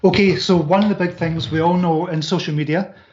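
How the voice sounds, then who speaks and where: A man speaks at a fairly quick pace with a Scottish accent. His voice is high-pitched, with ordinary pitch variation. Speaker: author and business coach. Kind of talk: interview. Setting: live online video show.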